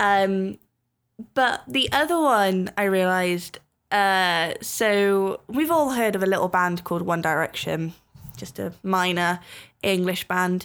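In a very clean recording with a silent background, a woman with a Welsh accent speaks at a very slow pace. Her voice sits at a medium pitch with ordinary pitch variation. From Wales. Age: young. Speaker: podcast host. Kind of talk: casual chat.

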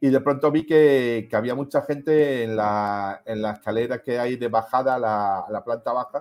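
A man with a normal speaking voice talks at a fairly slow pace, with ordinary pitch variation. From Melilla, Spain. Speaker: self-employed tech enthusiast. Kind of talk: casual chat.

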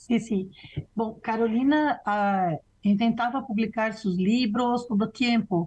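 Against a quiet background, a woman speaks very slowly at a fairly high pitch, somewhat breathy. Her pitch variation is ordinary and her loudness very even. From Brazil. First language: Portuguese (speaking Spanish). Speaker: professor and researcher. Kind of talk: interview conversation.

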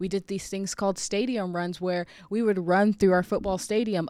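A woman talks with fairly even intonation in an unremarkable speaking voice. The recording is very clean, the background silent. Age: 30s. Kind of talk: devotional talk. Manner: casual, conversational.

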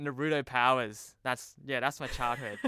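Here a man speaks with fairly even intonation. The sound is dry and close, with no echo. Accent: Australian. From Sydney, Australia. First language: Cantonese. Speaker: TV producer. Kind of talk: casual chat. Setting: remote recording.

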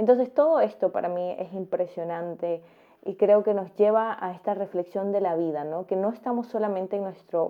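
A woman with a plain, everyday voice and a medium pitch. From Central America, neighbor of Costa Rica. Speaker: travel vlogger. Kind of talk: personal reflection monologue. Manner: calm, reflective.

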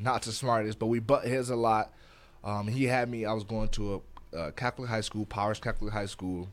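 On a very clean recording with a silent background, a man with a fairly low pitch talks at a moderate pace with fairly even intonation. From Detroit, Michigan, US. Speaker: podcast co-host. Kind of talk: casual chat.

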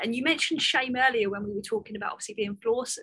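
A woman's high-pitched voice carries a bright, sharp tone. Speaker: podcast host. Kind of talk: podcast interview.

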